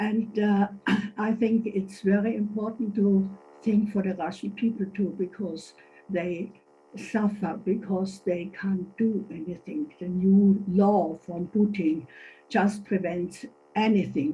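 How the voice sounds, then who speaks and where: A woman's dark, mellow voice at a medium pitch, fairly even in intonation, somewhat breathy, at a very slow pace. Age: 80s+. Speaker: senior citizens' association member. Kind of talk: meeting statement. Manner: halting.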